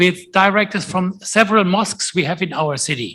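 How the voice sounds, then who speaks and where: In a raised, projected voice, a man speaks at a moderate pace, his high-pitched tone bright and sharp, with ordinary pitch variation. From Germany. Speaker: conference moderator, professor. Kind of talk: conference panel discussion.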